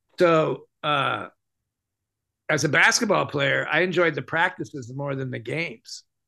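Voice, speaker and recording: Over a quiet background, a man with an American accent speaks in a bright, sharp tone with vocal fry and ordinary pitch variation. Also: fairly high pitch for a man, fairly slow pace. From California, US West. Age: 70s. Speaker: mime performer and teacher; teacher. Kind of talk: casual interview. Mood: relaxed, reflective. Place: home room. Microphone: video call.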